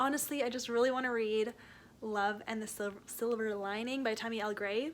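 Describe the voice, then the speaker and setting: A woman speaks at a fairly quick pace with a fairly high pitch and fairly even intonation. It is an ordinary speaking voice. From Canada. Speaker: book vlogger. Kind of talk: casual talk to camera. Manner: casual, chatty.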